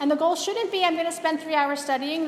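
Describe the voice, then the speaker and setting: A woman talks with an extremely high pitch and ordinary pitch variation. Noticeable background noise and audible room echo fill the recording. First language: not English. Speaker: university biology lecturer. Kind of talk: lecture. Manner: casual, with filler words.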